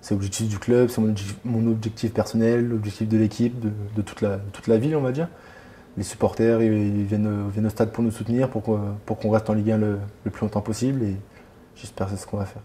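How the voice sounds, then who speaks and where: Long, frequent pauses break up a very fast delivery, with a monotone, flat intonation and a dark, mellow tone. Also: man, fairly low pitch for a man. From France, Reims. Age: 20s. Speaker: professional footballer. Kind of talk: interview. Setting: at his home.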